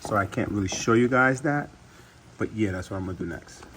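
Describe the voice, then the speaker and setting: A man mumbles. His pitch is medium. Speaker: DIY car repair youtuber. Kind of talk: tutorial. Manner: mumbling; casual, halting.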